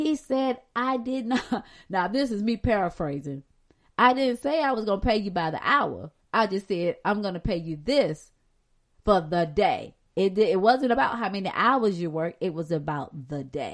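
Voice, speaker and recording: Medium-pitched woman with an American accent, at a moderate pace, her pitch swinging very widely. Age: 50s. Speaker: podcast host and Bible teacher. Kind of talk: sermon-like Bible lesson. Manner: warm, animated, conversational.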